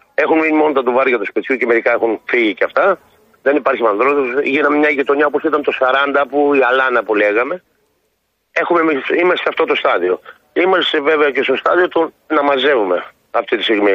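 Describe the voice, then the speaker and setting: A man talks at a fairly quick pace with fairly high pitch, ordinary pitch variation and very even loudness. His speech has long, frequent pauses. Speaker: village president and farmer. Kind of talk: radio phone interview.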